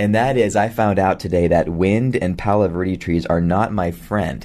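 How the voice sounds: The voice moves at a moderate pace with fairly even intonation and a slightly mellow tone. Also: man, low pitch for a man.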